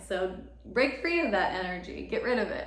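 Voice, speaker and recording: A woman speaks at a high pitch and a moderate pace. Audible room echo and noticeable background noise fill the recording. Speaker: astrologer and tarot reader. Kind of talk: tarot reading monologue. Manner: casual, filler-heavy.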